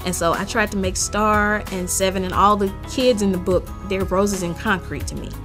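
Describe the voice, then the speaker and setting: Over music in the background, a woman with a Mississippi accent talks at a moderate pace. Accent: Mississippi Southern US. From Jackson, Mississippi. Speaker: author. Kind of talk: author interview to camera.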